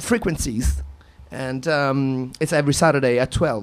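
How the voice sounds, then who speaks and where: Music plays underneath as a man talks very slowly. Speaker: radio DJ. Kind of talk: live radio DJ show. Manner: casual, chatty.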